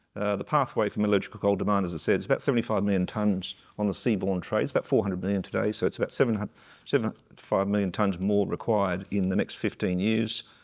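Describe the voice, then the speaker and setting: A man with an Australian accent, fairly low pitch, a very fast pace and fairly even intonation. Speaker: mining company CEO, panelist. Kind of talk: panel discussion.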